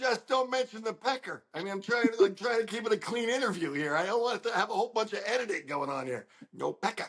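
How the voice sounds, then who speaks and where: A man with an extremely high pitch talks very fast with lively intonation and hardly any pauses. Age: 60s. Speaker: independent interviewer and videographer. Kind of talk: casual chat.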